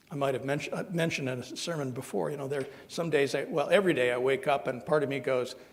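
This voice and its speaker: A man's very fast, fairly high-pitched voice with an American accent and hardly any pauses, amid noticeable background noise and audible room echo. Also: ordinary pitch variation. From Southern Ohio. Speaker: minister. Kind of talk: sermon. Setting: church service. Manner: halting.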